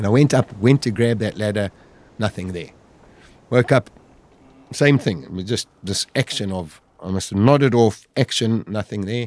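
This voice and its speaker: At a moderate pace, a man talks in a fairly low pitch. He uses ordinary pitch variation. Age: 50s. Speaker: survivor telling his story. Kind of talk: storytelling interview. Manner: animated.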